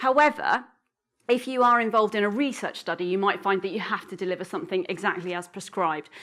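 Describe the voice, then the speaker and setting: A woman talks at a very fast pace in an animated tone. Her voice has a bright, sharp tone. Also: medium pitch for a woman. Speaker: keynote speaker on school mental health. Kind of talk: conference keynote presentation. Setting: stage with audience.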